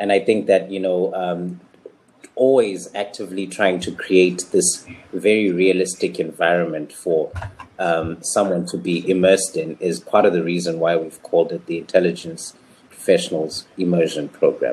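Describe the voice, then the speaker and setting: This man has a very deep, low pitch and ordinary pitch variation. His pace is moderate. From Zimbabwe. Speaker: intelligence analyst and instructor. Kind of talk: casual discussion.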